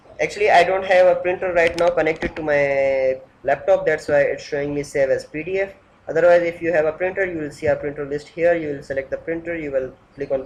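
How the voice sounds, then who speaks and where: The pace is very fast. There is noticeable background noise. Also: man, high pitch for a man, fairly even intonation. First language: not English. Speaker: software developer. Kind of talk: software demo tutorial. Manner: halting.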